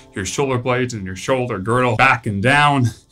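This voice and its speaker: A man speaks with ordinary pitch variation. Faint music sits in the background. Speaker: strength coach. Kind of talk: tutorial. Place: gym.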